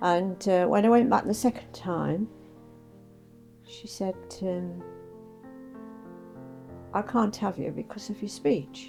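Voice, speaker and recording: With music in the background, a woman of medium pitch speaks at a very slow pace with lively intonation, big swings in loudness, and long, frequent pauses. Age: 80s+. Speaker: retired district nurse. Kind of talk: interview answer.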